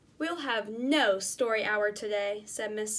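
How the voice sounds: The reading voice is natural and its pitch varies in an ordinary way.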